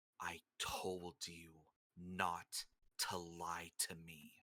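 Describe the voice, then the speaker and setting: A put-on character voice from a man, very deep and low in pitch, raspy, very slow and monotone with flat intonation, in a dry, close sound with no echo. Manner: hard, furious tone.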